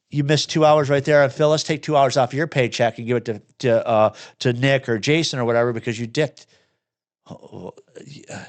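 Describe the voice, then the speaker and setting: Against a quiet background, a man with a Michigan accent speaks in an animated tone at a medium pitch and a fairly quick pace. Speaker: repair shop owner and podcast host. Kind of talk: casual podcast conversation. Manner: animated, blunt.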